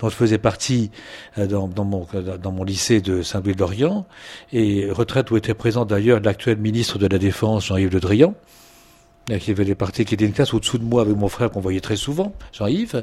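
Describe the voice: A man with a fairly low, slightly mellow voice speaks at a moderate pace with ordinary pitch variation.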